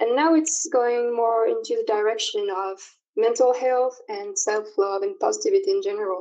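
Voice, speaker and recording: A woman at a high pitch, with a French accent, very wide pitch swings and a moderate pace. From France. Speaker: online community organizer. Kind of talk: interview. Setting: remote call.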